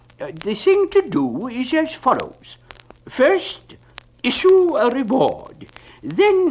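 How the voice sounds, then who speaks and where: A man puts on a character voice, pitched extremely high and delivered at a very slow pace. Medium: read story. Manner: pompous, wordy.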